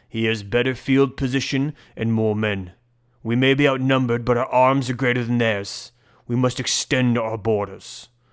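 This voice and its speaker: Doing a gruff put-on character voice, a man speaks at a medium pitch and a moderate pace with fairly even intonation, in a very clean recording with a silent background. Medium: read story. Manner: gruff, blunt.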